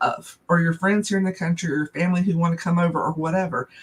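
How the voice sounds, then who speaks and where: Very fast, flat, monotone delivery in a Southern US accent. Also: woman. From US South. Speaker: small business owner. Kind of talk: casual chat.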